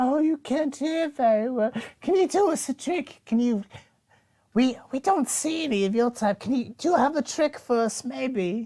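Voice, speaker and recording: This female-sounding voice is a put-on character voice with a high pitch for a woman. The pace stays moderate. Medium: actual play. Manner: scattered, eager, speaks as "we".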